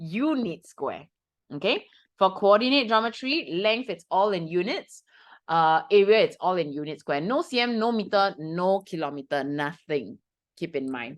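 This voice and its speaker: Against a quiet background, a woman with a Singaporean accent speaks at medium pitch and a moderate pace, her tone animated and her pitch swinging very widely. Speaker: math tutor. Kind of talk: lesson to students.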